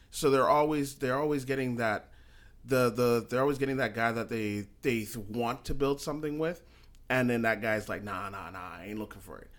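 With a normal speaking voice, a man talks at a medium pitch and moderate pace, showing ordinary pitch variation and big swings in loudness. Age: 30s. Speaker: podcast host. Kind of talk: casual chat.

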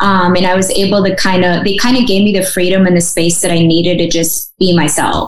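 A woman speaks at a medium pitch and a fairly quick pace, with fairly even intonation, very even loudness and hardly any pauses. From Russia, raised in small-town Michigan. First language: Russian. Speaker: adoptee advocate. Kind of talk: interview. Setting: video call.

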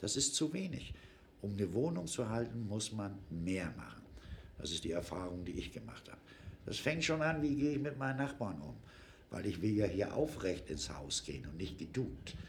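A man's fairly low voice with vocal fry and very wide pitch swings, at a moderate pace, with audible room echo. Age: 60s. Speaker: formerly homeless man. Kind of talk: personal testimony in interview. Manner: informal, conversational.

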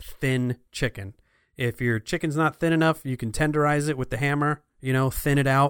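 On a very clean recording with a silent background, a man with an American accent and a fairly high pitch talks at a moderate pace, the sound dry and close with no echo. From New Jersey. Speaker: podcast co-host, audio and video editor. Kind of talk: casual chat. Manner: animated.

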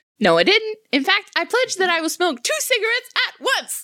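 With a bored tone, a woman talks at a fairly quick pace in an extremely high pitch with very wide pitch swings. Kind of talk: comic overacting. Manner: brash, defiant, bored.

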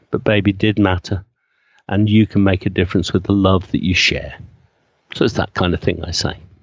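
This man has a fairly low pitch and very even loudness, moving at a fairly quick pace broken by long, frequent pauses. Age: 60s. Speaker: funeral celebrant. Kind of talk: interview. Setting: remote call. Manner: animated.

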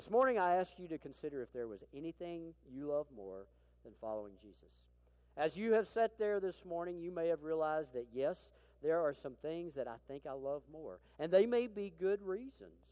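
A man with an Arkansas accent, fairly high in pitch with a dark, mellow tone, at a moderate pace, with very wide pitch swings and big swings in loudness. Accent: Southern US (Arkansas). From Arkansas, US South. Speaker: military chaplain, preacher. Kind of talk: sermon. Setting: church.

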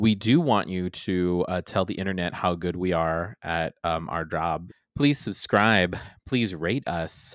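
A man's very deep, low voice at a fairly slow pace, with ordinary pitch variation, in a very clean recording with a silent background. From Guam. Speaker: podcast co-host. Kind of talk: casual chat. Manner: animated.

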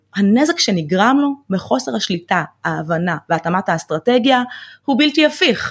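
On a very clean recording with a silent background, a woman speaks at a fairly slow pace with very even loudness. Her medium-pitched, somewhat breathy voice has very wide pitch swings. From Israel, Ramla. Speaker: financial planner. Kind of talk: interview.

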